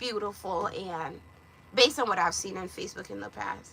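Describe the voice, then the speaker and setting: A woman in a Jamaican accent, with a bright, sharp tone and vocal fry, at a moderate pace. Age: 30s. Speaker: lifestyle vlogger. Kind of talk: casual chat. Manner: animated.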